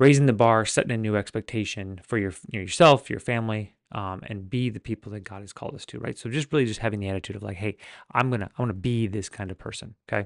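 A very fast male voice, fairly low in pitch, with ordinary pitch variation and a dry, close sound with no echo, over a quiet background. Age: 40s. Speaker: podcast host. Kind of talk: casual monologue.

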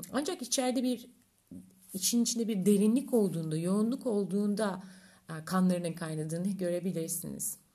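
Somewhat breathy and dark, mellow in tone, a woman talks at a fairly quick pace at medium pitch with ordinary pitch variation. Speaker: astrologer podcaster. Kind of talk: solo podcast monologue. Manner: dramatic, theatrical delivery.

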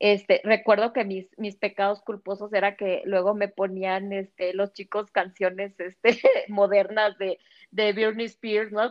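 Female speech, medium in pitch and fairly slow in pace. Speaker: former nun. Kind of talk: casual chat. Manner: halting.

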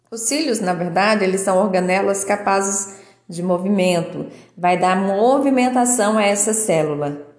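Speaking at a fairly slow pace, a woman with a medium pitch and ordinary pitch variation is heard with audible room echo. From Minas Gerais, Brazil. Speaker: biomedical scientist, educational podcaster. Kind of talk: educational monologue. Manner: casual, with filler words.

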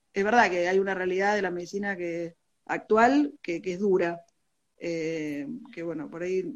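A woman with a fairly low pitch talks at a moderate pace with ordinary pitch variation. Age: 40s. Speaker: physician and medical teacher. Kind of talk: interview. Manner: halting.

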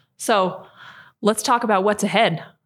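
A woman with an American accent speaks at a fairly quick pace in an unremarkable speaking voice with ordinary pitch variation. The recording is very clean, with a silent background. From southeastern Idaho. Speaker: podcast host, health advocate. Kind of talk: interview.

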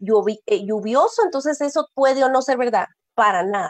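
A woman with a Guatemalan accent speaks at a fairly slow pace. Her pitch is high and her intonation lively. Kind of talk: interview. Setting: live stream.

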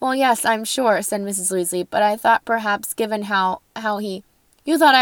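Ordinary pitch variation in a natural reading voice, over a quiet background.

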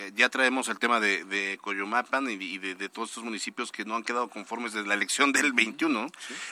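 This man's voice has a bright, sharp tone and medium pitch, with big swings in loudness and hardly any pauses. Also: fairly even intonation, moderate pace. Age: 30s. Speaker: radio news host. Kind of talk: news radio interview. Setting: studio.

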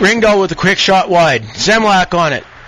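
A man talks at a high pitch with noticeable background noise behind him. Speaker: hockey play-by-play commentator. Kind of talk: live play-by-play sports commentary. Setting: rink broadcast booth, internet radio.

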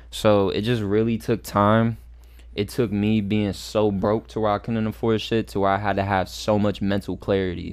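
A man with a normal speaking voice, fairly low in pitch, talks at a moderate pace with fairly even intonation in a very clean recording with a silent background. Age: 20s. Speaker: rapper. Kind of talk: casual chat.

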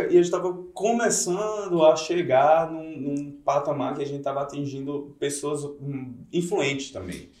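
A man speaks with a fairly high pitch and big swings in loudness. There is audible echo from the room. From Campina Grande, Paraíba, Brazil. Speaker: DJ. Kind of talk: casual chat. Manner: animated.

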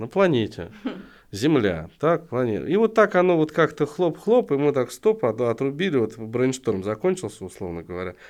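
This man's voice sits fairly high and swings very widely in pitch. He keeps a moderate pace over a quiet background. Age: 40s. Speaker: entrepreneur, co-founder and CEO of a crowdfunding platform. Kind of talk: casual interview.

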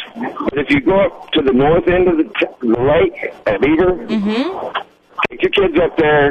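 A man keeps a moderate pace while noticeable noise runs in the background. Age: 50s. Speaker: radio caller. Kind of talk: casual chat.

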